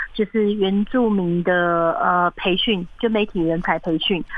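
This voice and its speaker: A woman is the speaker. Her pitch shows ordinary variation. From Taiwan, Atayal community in Taichung mountains. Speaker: documentary director and film school founder. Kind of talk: interview. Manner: hesitant, many fillers.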